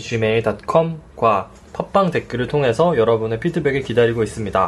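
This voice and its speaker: A man at medium pitch uses lively intonation against noticeable background noise. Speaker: podcast co-host. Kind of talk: casual chat; scripted narration. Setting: studio. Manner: giggly.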